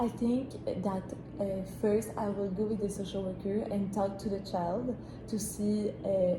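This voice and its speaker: Through audible room echo and noticeable background noise, a woman speaks at a fairly slow pace and a medium pitch, with monotone, flat intonation and very even loudness. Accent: French. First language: French. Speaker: job applicant in a mock interview. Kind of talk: mock job interview. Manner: hesitant, many fillers.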